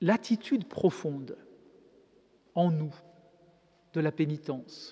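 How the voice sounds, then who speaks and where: At a very slow pace, a man with a dark, mellow tone and fairly high pitch speaks with ordinary pitch variation. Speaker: Dominican friar and preacher. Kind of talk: lecture. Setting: church.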